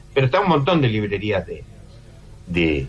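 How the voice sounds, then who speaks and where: A man is speaking. Background noise is noticeable. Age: 70s. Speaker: film critic and lecturer. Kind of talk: radio interview. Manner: halting.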